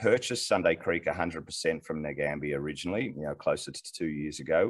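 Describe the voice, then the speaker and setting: Here a man speaks with an Australian accent. His pitch is very deep and low. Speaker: mining company executive. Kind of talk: interview. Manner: halting, many repeated words.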